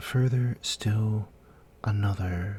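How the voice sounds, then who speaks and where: A soft-spoken voice with a gentle tone. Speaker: ASMR storyteller. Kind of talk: guided fantasy sleep story. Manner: soft-spoken, gentle.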